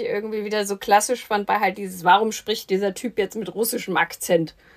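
A woman talks in a plain, everyday voice at a medium pitch. Her pace is fairly quick and her intonation fairly even. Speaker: film podcast host. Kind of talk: casual chat.

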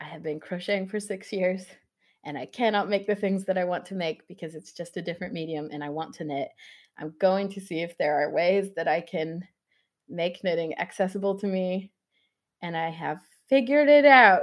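A woman with a plain, everyday voice speaks at a medium pitch and moderate pace, with ordinary pitch variation against a quiet background. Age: 20s. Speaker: knitwear designer and maker. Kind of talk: interview.

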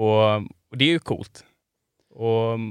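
A man on a very clean recording with a silent background, the sound dry and close with no echo. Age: 30s. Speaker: photographer and filmmaker. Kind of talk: casual chat. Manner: halting.

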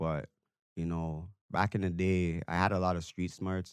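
Over a very clean recording with a silent background, a man speaks with a Toronto accent. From Toronto, Canada. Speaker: dancer. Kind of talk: casual chat. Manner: animated.

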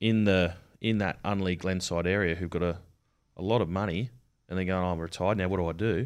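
An Australian accent comes through at a very fast pace with fairly even intonation. The recording is very clean, and the background is silent. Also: man, very deep, low pitch for a man. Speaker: army veteran and painter. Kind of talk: interview. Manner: halting, many filler words.

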